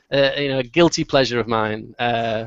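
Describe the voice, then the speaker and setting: A man talks at a fairly quick pace. He has a slight Manchester accent. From northern England, Manchester. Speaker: marketing agency founder. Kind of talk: webinar Q&A. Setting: video call.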